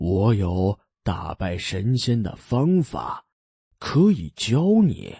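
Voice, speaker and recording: Using a put-on character voice, a man speaks at a very slow pace with a medium pitch and very wide pitch swings, in a dry, close sound with no echo. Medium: read story.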